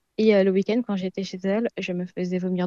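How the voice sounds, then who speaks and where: Over a quiet background, a woman with a dark, mellow tone speaks at medium pitch and a moderate pace in a monotone, flat delivery, the sound dry and close with no echo. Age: 20s. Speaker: researcher sharing her eating disorder experience. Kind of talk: testimony.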